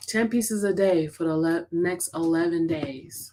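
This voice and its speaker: A woman speaks softly. The recording is very clean with a silent background. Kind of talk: team motivational talk. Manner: soft-spoken.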